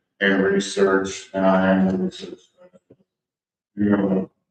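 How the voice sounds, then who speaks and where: A soft-spoken man. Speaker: infrastructure consultant. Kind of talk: public comment at meeting. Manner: halting.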